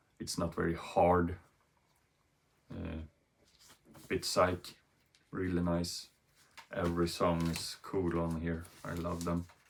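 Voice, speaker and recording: A man's very deep, low voice with a Swedish accent, flat and monotone, at a very slow pace with long, frequent pauses. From Sweden. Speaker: vinyl record YouTuber. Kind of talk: casual video monologue. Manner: halting, many fillers.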